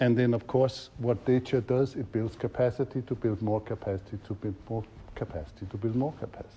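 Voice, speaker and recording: Somewhat breathy and in a dark, mellow tone, a man with a medium pitch speaks at a fairly quick pace with ordinary pitch variation. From Denmark. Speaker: facilitation trainer. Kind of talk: workshop teaching.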